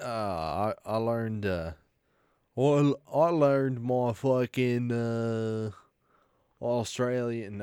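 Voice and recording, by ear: In a put-on character voice, a man drawls at a very slow pace with long, frequent pauses, holding a medium pitch and fairly even intonation.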